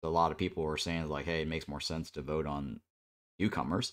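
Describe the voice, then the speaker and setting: The tone is relaxed, and the recording is very clean with a silent background. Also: man. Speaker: gaming streamer. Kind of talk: casual chat. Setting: live stream. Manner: relaxed, many fillers.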